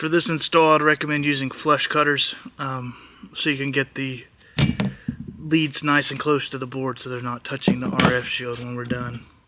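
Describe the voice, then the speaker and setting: With noticeable noise behind him, a man talks at a moderate pace in a fairly even intonation. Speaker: console repair YouTuber. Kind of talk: tutorial. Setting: soldering station workbench. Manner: casual with many fillers.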